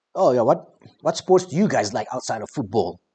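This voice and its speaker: A man talks at a moderate pace, sounding somewhat breathy. His pitch swings very widely. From South Africa. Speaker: football skills streamer. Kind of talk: casual live stream chat.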